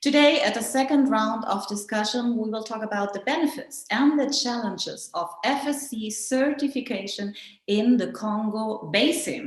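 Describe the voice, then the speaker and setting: A woman with a German accent speaks at a fairly high pitch, with hardly any pauses. Noticeable background noise and audible room echo surround her voice. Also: ordinary pitch variation, moderate pace. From Germany. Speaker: journalist and conference moderator. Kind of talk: conference moderation. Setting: online digital conference.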